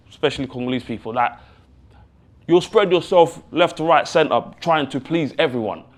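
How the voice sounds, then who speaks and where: A loud man speaks at a fairly high pitch. His pitch varies in an ordinary way. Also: long, frequent pauses. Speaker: talk show contestant. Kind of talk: audition panel discussion. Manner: code-switching English and Lingala.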